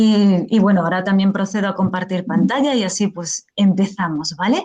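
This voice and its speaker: This woman's voice is somewhat breathy and medium in pitch. She speaks at a fairly slow pace. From Spain. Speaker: professor, teacher trainer. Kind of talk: lecture.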